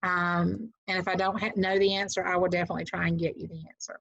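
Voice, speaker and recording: With a Southern US accent, a woman talks at a fairly quick pace, the sound dry and free of echo. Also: quiet background. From US South. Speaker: real estate agent and trainer; trainer. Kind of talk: tutorial. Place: home room. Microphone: webcam.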